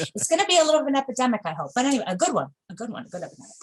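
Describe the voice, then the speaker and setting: With a New York accent, a woman speaks in an animated tone with very wide pitch swings. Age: 40s. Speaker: bakery owner. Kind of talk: interview.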